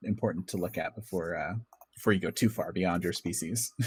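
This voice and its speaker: A man's fairly low-pitched voice with fairly even intonation, on a very clean recording with a silent background. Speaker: game master. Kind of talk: tabletop game session teaching rules. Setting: live stream. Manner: fast.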